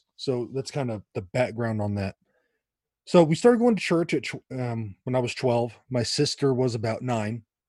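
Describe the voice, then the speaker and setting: With an American accent, a man talks at a moderate pace and ordinary pitch variation, the sound dry and close with no echo and a quiet background. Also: medium pitch for a man. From US West Coast, Los Angeles area. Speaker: author and evangelist. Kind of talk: interview conversation.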